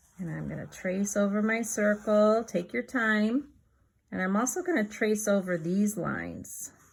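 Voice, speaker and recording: Somewhat breathy with a gentle tone, a woman speaks at a fairly slow pace with ordinary pitch variation. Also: medium pitch for a woman. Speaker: children's art teacher. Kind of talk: tutorial for young children. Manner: gentle, encouraging.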